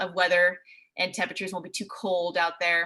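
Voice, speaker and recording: Fairly quick and in an American accent, a woman speaks at a medium pitch with a bright, sharp tone and a monotone, flat intonation. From US Pacific Northwest, Seattle. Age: 20s. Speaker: TV meteorologist. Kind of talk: presentation. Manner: casual.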